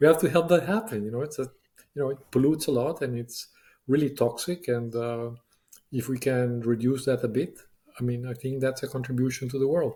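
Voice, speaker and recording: Fairly quick and somewhat breathy, a man speaks with a dark, mellow tone at medium pitch and ordinary pitch variation. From Latin America. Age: 60s. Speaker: business leader. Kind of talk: interview. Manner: halting, many fillers.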